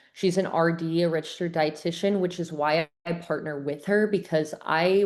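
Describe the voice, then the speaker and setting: A woman talks in a plain, everyday voice at a fairly quick pace. Her pitch sits fairly low, with fairly even intonation. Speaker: gut health coach. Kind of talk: online webinar presentation. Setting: video call. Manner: casual, filler-heavy.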